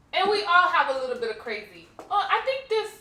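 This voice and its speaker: Her voice is raised and projected, with a bright, sharp tone. The woman makes very wide pitch swings at a moderate pace. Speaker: home decor vlogger. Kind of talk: casual on-camera vlog talk. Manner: loud.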